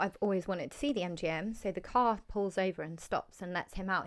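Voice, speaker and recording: A woman with an English accent talks with fairly even intonation in a very clean recording against a silent background. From England. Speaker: podcast host. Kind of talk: casual chat.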